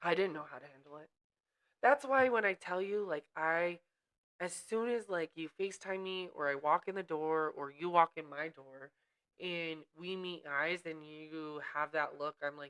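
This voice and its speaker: A woman speaks loudly with a fairly low pitch and an animated tone. Her pitch varies an ordinary amount, and her pace is moderate. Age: 30s. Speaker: podcast co-host. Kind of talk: casual chat.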